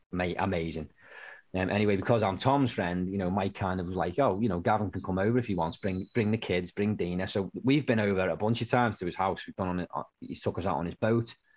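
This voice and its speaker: A man with a British accent speaks at a very fast pace, his fairly low pitch showing ordinary variation. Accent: UK. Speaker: podcast host. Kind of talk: casual chat. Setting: video call.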